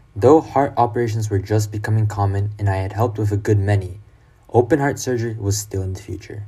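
Speaking very fast, a man with a fairly low pitch has a dark, mellow, somewhat breathy tone and fairly even intonation. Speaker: reader of quoted memoir and lecture. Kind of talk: reading aloud quotations.

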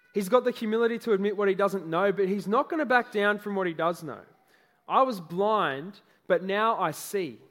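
The pitch moves in an ordinary way during this plain reading aloud.

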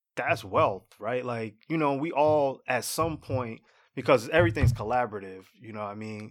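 A man speaks with an American accent at a moderate pace, his pitch medium with ordinary variation. It is a plain, everyday voice, with big swings in loudness. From Jersey City, New Jersey. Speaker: fintech entrepreneur. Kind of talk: casual chat.

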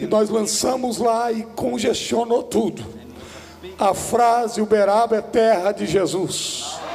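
Noticeable background noise is present throughout. The delivery is very slow, with fairly even intonation. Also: man, high pitch for a man. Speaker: pastor. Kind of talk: preacher's pulpit exhortation. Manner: loud, emphatic, declaring.

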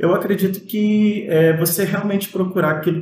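A man speaks at a fairly slow pace. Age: 30s. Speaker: music student. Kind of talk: casual interview chat.

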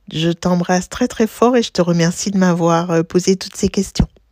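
Heard dry and close with no echo, a woman talks at a fairly slow pace and a fairly low pitch. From Martinique. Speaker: blogger and teacher. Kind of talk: interview. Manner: talkative.

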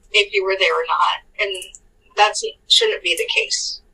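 A woman with a Californian accent, medium pitch and a bright, sharp tone. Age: 40s. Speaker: podcast co-host. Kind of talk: casual storytelling chat.

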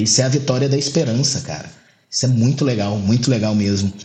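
A somewhat breathy man of medium pitch speaks with ordinary pitch variation, his voice carrying audible room echo. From Goiás, Brazil. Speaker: lawyer and bar association president. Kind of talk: casual interview.

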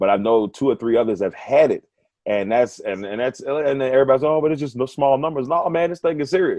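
Talking at a very fast pace, a man uses a fairly high voice with ordinary pitch variation. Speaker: sports radio host. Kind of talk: casual interview chat.

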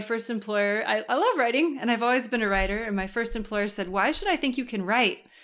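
A woman with a Californian accent speaks at a fairly quick pace in a fairly high voice with ordinary pitch variation. The recording is very clean, with a silent background. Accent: American (Californian). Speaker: writing coach. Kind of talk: interview conversation.

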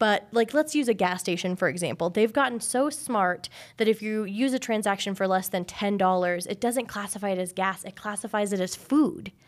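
A woman has a normal speaking voice at a medium pitch with ordinary pitch variation. She talks at a fairly quick pace with hardly any pauses, on a very clean recording with a silent background. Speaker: credit union community manager. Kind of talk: casual chat.

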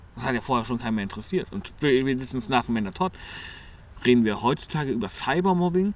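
Talking at a very fast pace, a man at medium pitch makes very wide pitch swings. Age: 20s. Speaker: podcast co-host. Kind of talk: casual chat.

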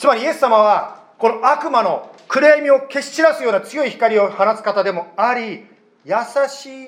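A man speaks at an extremely high pitch with ordinary pitch variation. His loudness swings widely. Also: moderate pace. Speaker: pastor. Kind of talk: sermon. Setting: church.

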